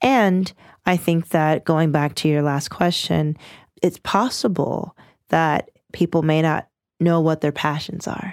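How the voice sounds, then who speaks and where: A woman with an American accent and a plain, everyday voice speaks at a fairly slow pace in a fairly low pitch with ordinary pitch variation, the sound dry and close with no echo on a very clean recording with a silent background. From US, Washington, D.C. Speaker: lawyer and mediator. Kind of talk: interview.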